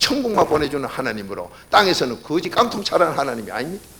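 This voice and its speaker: A man talks at a very fast pace with very wide pitch swings. Room echo is audible, along with noticeable background noise. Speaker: pastor. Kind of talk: sermon. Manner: animated.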